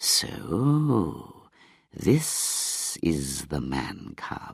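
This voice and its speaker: A man's put-on character voice, hissing and very deep, with very wide pitch swings. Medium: read story. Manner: slow, hissing.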